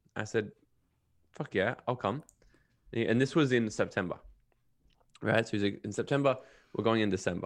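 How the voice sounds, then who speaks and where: The speaker moves at a fairly quick pace with ordinary pitch variation. Long, frequent pauses break up the speech against a quiet background. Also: man, medium pitch for a man. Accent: Australian. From Australia (Brisbane and Gold Coast, Queensland). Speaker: podcast host and self-development coach. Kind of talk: casual interview chat.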